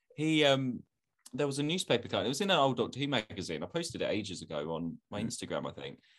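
A man at medium pitch with vocal fry, very wide pitch swings and a very fast pace, against a quiet background. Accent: strong London. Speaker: podcast co-host. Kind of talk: casual comedic chat.

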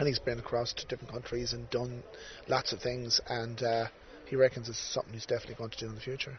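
A man talks at a very fast pace in a monotone. Noticeable background noise runs behind his flat intonation. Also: medium pitch for a man. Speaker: podcast host. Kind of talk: casual interview chat. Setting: outdoors by the river.

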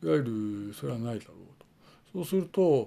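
His tone is dark and mellow, and his pitch swings very widely. The man is heard on a very clean recording with a silent background. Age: 50s. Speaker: independent video blogger. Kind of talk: solo monologue. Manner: halting, many fillers.

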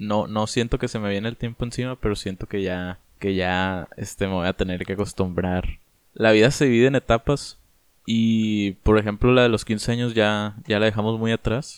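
A man with an ordinary speaking voice, fairly low pitch, fairly even intonation and a moderate pace. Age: 20s. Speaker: podcast co-host. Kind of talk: casual chat. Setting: remote recording from separate homes.

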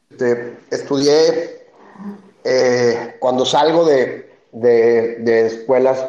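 A man's fairly even intonation carries through audible echo in the room. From Mexico City. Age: 40s. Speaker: beer company founder. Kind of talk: interview. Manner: halting, with many repetitions.

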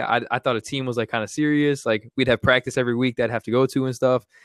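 Speaking very fast, a man of medium pitch keeps a monotone, flat intonation. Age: 20s. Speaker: paintball podcast co-host. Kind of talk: casual chat.

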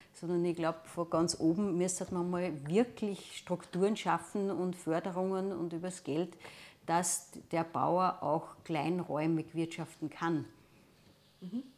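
Speaking at a very slow pace, a woman uses a fairly low pitch and fairly even intonation. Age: 60s. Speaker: teacher. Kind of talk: interview testimony.

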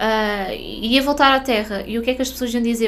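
Amid audible room echo, a woman talks at a moderate pace with a fairly high pitch. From northern Portugal. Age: 30s. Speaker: podcast host and spiritual mentor. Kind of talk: casual monologue podcast.

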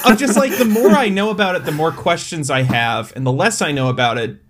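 A man's somewhat breathy voice moves at a moderate pace with very wide pitch swings. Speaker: podcast host. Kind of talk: casual, profane.

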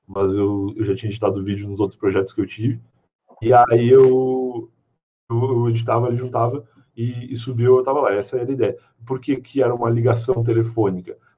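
At a fairly quick pace, a man with a medium pitch and a dark, mellow, somewhat breathy tone speaks with fairly even intonation. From southern Rio Grande do Sul, Brazil. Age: 30s. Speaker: podcaster. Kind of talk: casual chat.

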